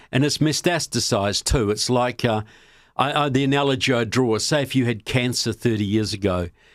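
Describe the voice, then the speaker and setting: A man speaks at a fairly quick pace in a New Zealand accent. His pitch is medium with ordinary variation. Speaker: political filmmaker and author. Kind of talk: podcast interview.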